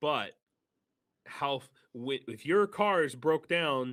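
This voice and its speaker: In a dry, close recording with no echo, a man talks at a very slow pace with lively intonation. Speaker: volunteer supplying vehicles in Ukraine. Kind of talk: live stream interview. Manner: halting, many fillers and restarts; gestures with hands while talking.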